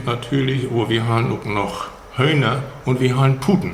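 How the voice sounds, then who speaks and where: A man speaking at a very slow pace, with audible room echo and noticeable background noise. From Schleswig-Holstein, Steinburg district (Herzhorn). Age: 70s. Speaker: retired school headmaster. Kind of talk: casual interview in Low German. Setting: room in a museum.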